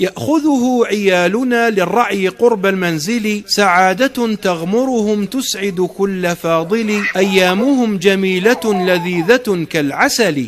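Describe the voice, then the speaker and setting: Over noticeable background noise, a man with a high pitch and ordinary pitch variation talks very slowly, hardly pausing at all. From Algeria. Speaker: poet. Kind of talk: poetry reading.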